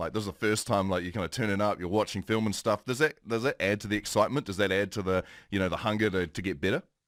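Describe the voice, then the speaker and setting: Very fast speech in a New Zealand accent, hardly any pauses, on a very clean recording with a silent background and a dry, close sound with no echo. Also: man. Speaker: morning TV host. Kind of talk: interview.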